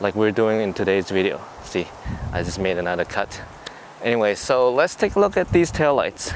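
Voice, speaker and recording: With lively intonation, a man with a fairly low pitch speaks over noticeable background noise. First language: not English. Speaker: car DIY YouTuber. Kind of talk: tutorial. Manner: casual.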